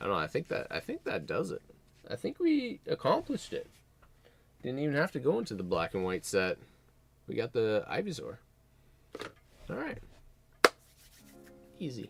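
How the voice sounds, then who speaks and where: A man mumbles at a fairly quick pace, with long pauses that come often. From Canada. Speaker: streamer opening trading card packs. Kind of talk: live stream chat. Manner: mumbling; animated.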